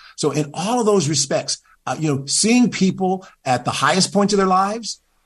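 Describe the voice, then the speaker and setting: The background stays quiet as a man talks in a somewhat breathy voice. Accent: American. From US Midwest, Cleveland, Ohio. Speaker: pastor and former government official. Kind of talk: interview.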